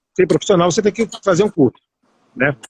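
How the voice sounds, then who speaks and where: A man's voice, ordinary pitch variation, dry and close with no echo. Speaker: radio broadcaster and journalist. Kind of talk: live online interview. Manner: fast.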